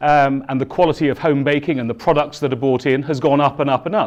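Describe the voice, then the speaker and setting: Against a quiet background, a man with a southern English accent talks fairly quickly in a fairly high pitch. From southern England, East Sussex. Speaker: keynote speaker. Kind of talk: conference keynote. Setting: stage with audience. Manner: loud.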